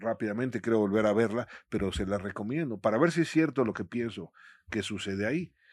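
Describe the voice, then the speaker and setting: This man has a plain, everyday voice with a fairly low pitch. He talks at a fairly quick pace against a quiet background. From Mexico City. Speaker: visual artist and art professor. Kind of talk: interview.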